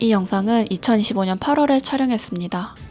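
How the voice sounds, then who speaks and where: Over music in the background, a woman speaks at a moderate pace in a medium pitch with lively intonation. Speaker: illustrator. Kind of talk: vlog voice-over narration.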